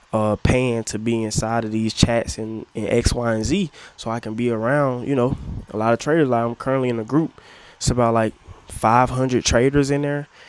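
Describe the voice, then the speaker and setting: Talking at a moderate pace, a man with an American accent has an animated tone and a medium pitch. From US South, Atlanta. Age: 20s. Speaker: forex trader YouTuber. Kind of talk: casual vlog monologue. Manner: animated, repetitive fillers.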